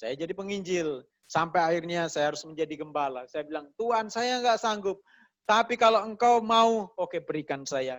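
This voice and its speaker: Recorded very cleanly against a silent background, a man speaks at a moderate pace in a high pitch. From Mamasa, West Sulawesi, Indonesia. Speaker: pastor. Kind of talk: sermon. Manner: conversational, colloquial.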